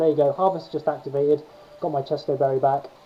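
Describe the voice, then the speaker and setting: A man speaks at a fairly high pitch over background music. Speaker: gaming YouTuber. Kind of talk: gameplay commentary. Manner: fast. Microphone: poor video quality, no capture card.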